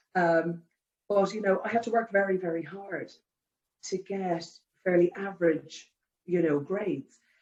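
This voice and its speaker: In an Irish accent, a woman speaks at a moderate pace with fairly even intonation and long, frequent pauses. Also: medium pitch for a woman. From Ireland. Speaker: care home general manager. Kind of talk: interview. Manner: conversational, many fillers.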